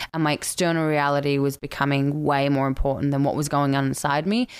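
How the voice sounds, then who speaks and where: This voice carries an Australian accent. It moves at a fairly quick pace. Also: woman, very clean recording, silent background. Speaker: actress and coach. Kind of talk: casual chat. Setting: home, condo.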